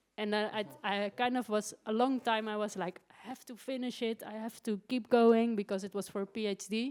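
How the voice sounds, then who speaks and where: A woman speaks with a Dutch accent at a moderate pace, with hardly any pauses. Her intonation is flat and monotone. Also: fairly high pitch for a woman. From Netherlands. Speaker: writer. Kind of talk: interview. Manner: halting.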